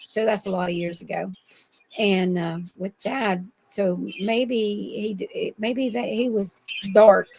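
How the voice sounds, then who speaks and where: At a fairly slow pace, a woman speaks in an American accent. Her pitch is medium, with ordinary pitch variation. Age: 60s. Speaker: Bigfoot eyewitness. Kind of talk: interview. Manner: halting, many fillers.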